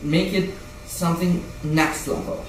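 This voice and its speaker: A man with a fairly high voice speaks over noticeable background noise, with audible echo from the room. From Brazil. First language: Portuguese. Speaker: indie game developer vlogger. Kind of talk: casual vlog rant. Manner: halting, many repetitions and restarts; animated.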